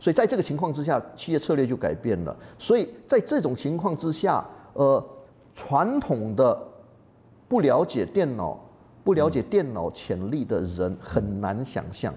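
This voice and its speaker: Vocal fry colors this man's fairly high voice. He talks at a fairly slow pace with very wide pitch swings. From Malaysia. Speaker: professor. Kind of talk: interview.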